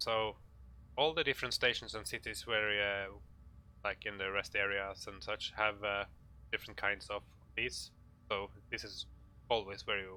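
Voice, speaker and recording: With a Norwegian accent, the speaker has a bright, sharp tone, a moderate pace and fairly even intonation. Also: man. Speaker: gaming tutorial maker. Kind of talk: tutorial. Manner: halting, many fillers.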